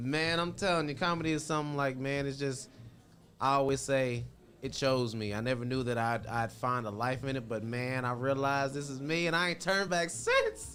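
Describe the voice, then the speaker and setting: Speaking at a moderate pace with a bright, sharp tone, a man with an American accent and medium pitch shows ordinary pitch variation amid audible room echo. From Indiana (Indianapolis). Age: 20s. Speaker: stand-up comedian. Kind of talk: casual interview. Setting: studio. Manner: animated.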